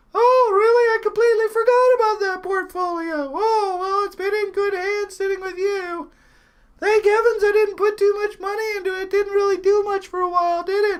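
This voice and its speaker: A put-on character voice rings out at an extremely high pitch. The pace is moderate. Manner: sweet, fluttery, forgetful.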